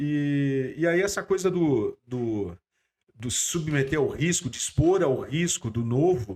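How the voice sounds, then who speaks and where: On a very clean recording with a silent background, a man speaks. His pitch is fairly high and his pace very slow. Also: lively intonation. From Curitiba, southern Brazil. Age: 50s. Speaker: company CEO. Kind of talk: interview.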